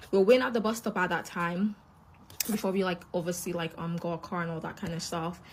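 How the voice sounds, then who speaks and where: A somewhat breathy woman speaks at a very fast pace. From Scotland, Glasgow (moved from Nigeria at five). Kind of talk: casual testimony.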